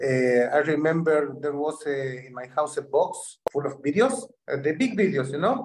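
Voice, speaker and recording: A fairly high-pitched man in a Spanish accent, with big swings in loudness and hardly any pauses. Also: ordinary pitch variation, moderate pace. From Argentina, Syrian family. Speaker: dance teacher. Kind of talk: interview.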